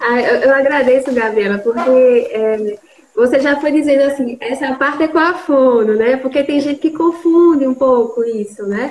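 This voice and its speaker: Against noticeable background noise, a woman speaks at a moderate pace with a high pitch and ordinary pitch variation. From Brazil, Recife. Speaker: speech therapist and university lecturer. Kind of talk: online panel discussion.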